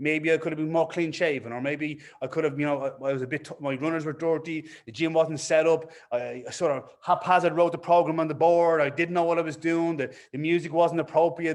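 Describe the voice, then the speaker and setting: A man with an Irish accent, fairly high in pitch, at a fairly quick pace. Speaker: fitness business coach. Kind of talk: webinar presentation. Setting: online webinar. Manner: fast when excited; animated.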